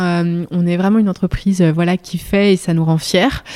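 At a moderate pace, a woman speaks in a dark, mellow voice of medium pitch with fairly even intonation. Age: 30s. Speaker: company CEO. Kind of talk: interview. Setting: company headquarters.

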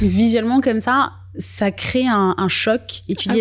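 Her voice sits at a medium pitch, and its pitch varies in an ordinary way. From Guadeloupe. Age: 20s. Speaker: digital marketing agency founder. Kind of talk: interview. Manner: hesitant, many fillers.

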